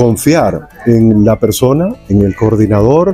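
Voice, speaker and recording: A man with lively intonation, music in the background. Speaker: news anchor and announcer. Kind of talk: interview answer.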